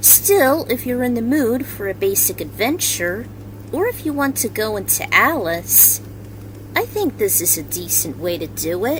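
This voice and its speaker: At a moderate pace, the voice comes through noticeable background noise. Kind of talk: video essay narration.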